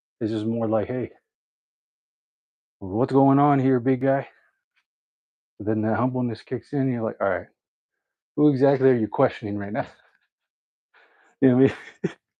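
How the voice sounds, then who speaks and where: At a moderate pace and medium pitch, a man speaks with fairly even intonation and long, frequent pauses. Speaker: fitness vlogger. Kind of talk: casual livestream talk during workout. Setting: at home, live stream.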